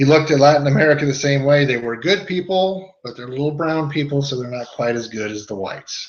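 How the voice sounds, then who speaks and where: Fairly quick male speech with ordinary pitch variation carries audible room echo. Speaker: history teacher. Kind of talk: lecture.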